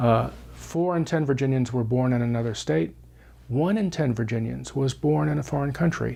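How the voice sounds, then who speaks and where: A man speaks at a medium pitch and a moderate pace, his tone dark and mellow. His loudness stays very even while his pitch swings very widely. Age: 60s. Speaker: former newspaper editor, political leadership institute director. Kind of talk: interview. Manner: hesitant, many fillers.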